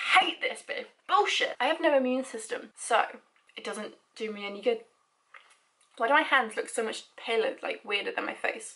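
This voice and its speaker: Projecting a raised voice in a British accent, a woman with a high pitch and a bright, sharp tone uses lively intonation, big swings in loudness and long, frequent pauses. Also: moderate pace. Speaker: vlogger. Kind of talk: personal vlog. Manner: halting.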